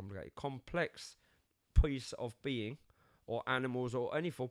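Heard in a very clean recording with a silent background, a man speaks with a London accent. His pitch is medium, with ordinary variation. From London, England. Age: 50s. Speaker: podcast co-host. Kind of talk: casual chat.

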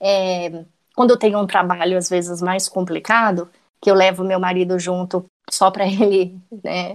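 A woman speaks fairly slowly at a medium pitch, with an unremarkable speaking voice. The background is quiet. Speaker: private investigator and true crime podcaster. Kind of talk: casual interview chat.

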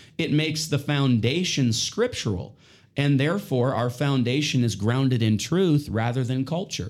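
At a moderate pace, a man with medium pitch and ordinary pitch variation talks in an ordinary speaking voice. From British Columbia, Canada. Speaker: missionary music teacher. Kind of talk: religious podcast interview.

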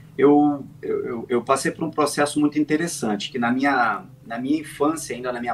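Moderately paced, the man's speech shows ordinary pitch variation. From Brazil, Volta Redonda, interior of Rio de Janeiro state. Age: 30s. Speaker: sim racing driver. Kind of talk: interview. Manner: halting, frequent repetitions.

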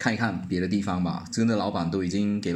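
In a very clean recording with a silent background, a man speaks in a fairly low pitch. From Malaysia. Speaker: sales manager. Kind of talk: casual interview chat.

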